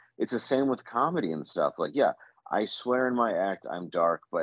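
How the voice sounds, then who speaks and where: A man talks at a moderate pace in an American accent. The sound is dry and close, with no echo. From US Midwest, Detroit. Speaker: comedian. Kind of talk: casual chat.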